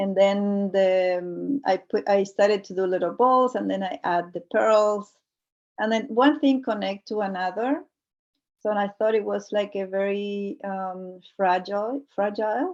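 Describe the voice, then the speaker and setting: Against a quiet background, a woman speaks at a fairly slow pace and medium pitch with ordinary pitch variation. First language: Spanish. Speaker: multidisciplinary artist. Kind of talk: artist talk presenting work. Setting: video call. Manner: halting, many fillers.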